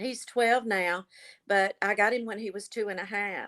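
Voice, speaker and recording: On a very clean recording with a silent background, a woman uses a normal speaking voice at medium pitch with fairly even intonation. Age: 60s. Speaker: grandmother raising grandchildren, reality show contestant. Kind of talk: casual interview.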